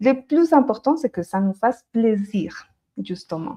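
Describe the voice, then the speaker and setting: A woman with a slight Colombian accent speaks at a fairly slow pace. Her fairly high pitch swings very widely. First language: Spanish (speaking French). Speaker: Spanish teacher. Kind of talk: live-stream language lesson. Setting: livestream.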